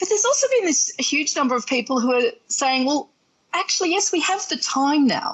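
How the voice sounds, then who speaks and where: A woman with an Australian accent speaks at a fairly quick pace in a high pitch, her pitch swinging very widely while her loudness stays very even. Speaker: relationship coach and therapist. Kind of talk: interview.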